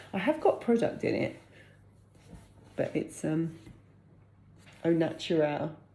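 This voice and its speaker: A woman with a British accent speaks with long, frequent pauses. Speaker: vlogger and freelance business owner. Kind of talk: casual vlog talk to camera. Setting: at home. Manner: fast.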